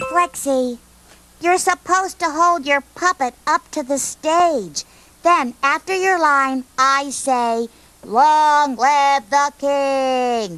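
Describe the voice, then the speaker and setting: This is a cartoonish character voice. It goes at a very slow pace. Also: female-sounding voice, high pitch for a woman. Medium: puppet show. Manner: patient, instructive, slightly exasperated.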